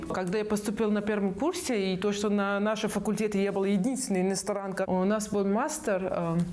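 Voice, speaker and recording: A woman with a Persian accent speaks at a fairly quick pace with hardly any pauses, her medium pitch showing ordinary variation, amid audible room echo and noticeable background noise. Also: very even loudness. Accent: Persian-accented Russian. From Iran, Tehran. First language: Persian (speaking Russian). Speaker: food blogger and entrepreneur. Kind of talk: interview. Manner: halting.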